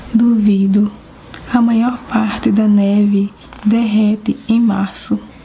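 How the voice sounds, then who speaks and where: A soft-spoken woman's fairly high voice, very slow and flat in intonation, over noticeable background noise. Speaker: ASMR creator. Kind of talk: ASMR book reading, soft spoken. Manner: soft-spoken, calm, relaxing.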